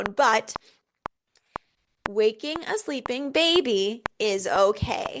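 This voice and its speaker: Shouting in a strained, put-on character voice, a woman speaks at a very slow pace with fairly high pitch, very wide pitch swings, and long, frequent pauses. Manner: emphatic, nearly shouting but restrained.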